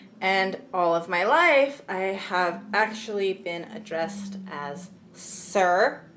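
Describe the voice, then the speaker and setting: Speaking at a very slow pace, a woman uses ordinary pitch variation amid audible room echo. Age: young. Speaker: YouTuber. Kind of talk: casual vlog talk.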